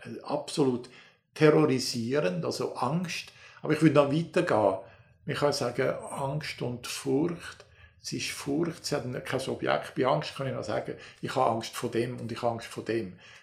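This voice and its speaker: A man with vocal fry at medium pitch, moderate in pace, with ordinary pitch variation. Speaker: folklore professor. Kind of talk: interview. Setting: university office. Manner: animated.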